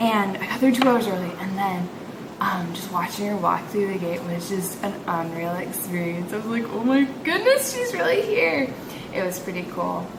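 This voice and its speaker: Over noticeable background noise and audible room echo, a woman with an American accent talks at a moderate pace and medium pitch, with ordinary pitch variation. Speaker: English teacher and vlogger. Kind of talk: casual vlog. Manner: animated.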